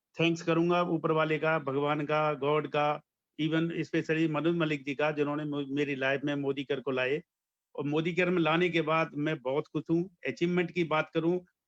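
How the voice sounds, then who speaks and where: Delivery stays monotone and flat throughout. The audio sounds dry and close, without any echo. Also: man. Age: 60s. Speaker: network marketing distributor. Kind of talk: testimony. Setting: online video event.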